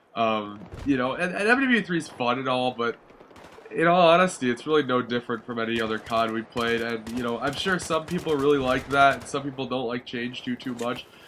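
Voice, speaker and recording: A man with a medium pitch talks fairly quickly while noticeable background noise carries on. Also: ordinary pitch variation. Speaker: gaming YouTuber. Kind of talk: casual video commentary. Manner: casual, swears often; hesitant, many fillers.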